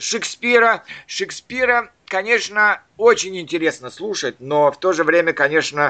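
A man speaks with very wide pitch swings. His tone is bright and sharp. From Soviet Central Asia and Leningrad. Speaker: language learning podcast host. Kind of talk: casual chat. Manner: halting.

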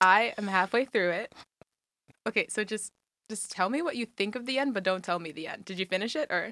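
This is a woman at medium pitch. She has a plain, everyday voice. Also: ordinary pitch variation. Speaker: college student on a blind date. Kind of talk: casual chat on a date.

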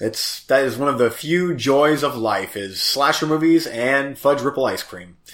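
A man's fairly high, animated voice at a moderate pace with hardly any pauses, over noticeable background noise. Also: ordinary pitch variation. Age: 40s. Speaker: podcast co-host. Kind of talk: casual chat. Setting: video call.

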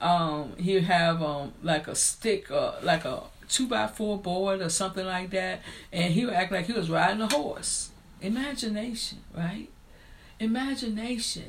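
A woman with an American accent, medium in pitch, lively in intonation, at a fairly slow pace amid audible room echo. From rural US. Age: 50s.

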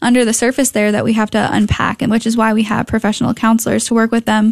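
A woman with an American accent and fairly high pitch comes through in a dry, close sound with no echo. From Connecticut. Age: 20s. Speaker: pregnancy center development director. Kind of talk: radio interview.

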